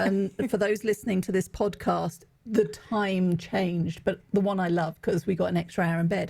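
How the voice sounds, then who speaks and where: A woman speaks with an English accent at a moderate pace. Her voice is somewhat breathy. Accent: English accent, often mistaken for Australian. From England. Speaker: executive coach and author. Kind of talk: podcast interview.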